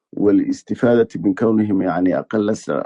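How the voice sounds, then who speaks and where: A man with a slight Egyptian accent speaks at a fairly slow pace, his fairly low voice marked by vocal fry. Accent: slightly Egyptian-tinged Arabic. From Somaliland (Hargeisa). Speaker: journalist. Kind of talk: interview. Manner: halting, many fillers.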